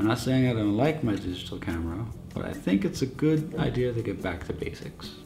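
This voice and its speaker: A man mumbling at a fairly quick pace with very wide pitch swings, over music in the background. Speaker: photographer. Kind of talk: casual talk to camera. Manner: mumbling, hesitant.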